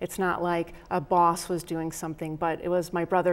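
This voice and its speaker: A woman's fairly low, monotone voice at a moderate pace. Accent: Rochester. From upstate New York, Rochester. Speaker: professor. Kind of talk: interview.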